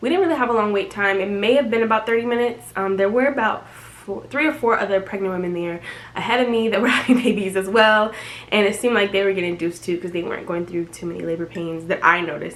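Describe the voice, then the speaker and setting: A very fast-talking woman at medium pitch, ordinary pitch variation, noticeable background noise behind her. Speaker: vlogger. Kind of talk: casual vlog narration. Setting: hospital room.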